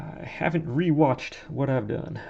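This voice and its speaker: The voice has a relaxed tone and ordinary pitch variation. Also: man. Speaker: hobbyist model sculptor. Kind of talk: casual work-along commentary. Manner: relaxed, meandering.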